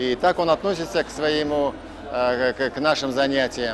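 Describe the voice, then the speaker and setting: A man's pitch moves an ordinary amount as noticeable noise carries on behind him. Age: 60s. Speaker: trainee. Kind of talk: testimonial. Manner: halting.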